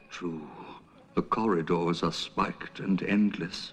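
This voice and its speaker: A put-on character voice, very deep and low in pitch, moves along at a fairly slow pace. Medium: short film. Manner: doleful, hollow.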